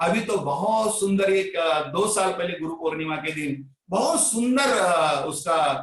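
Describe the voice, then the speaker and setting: Here a man speaks in a Marathi accent. His intonation is lively. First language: Marathi (speaking Hindi). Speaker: Sai devotee and bhajan preacher. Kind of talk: devotional talk.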